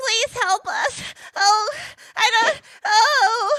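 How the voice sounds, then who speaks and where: A woman puts on a character voice. Her pitch is extremely high. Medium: actual play. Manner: anxious, whiny.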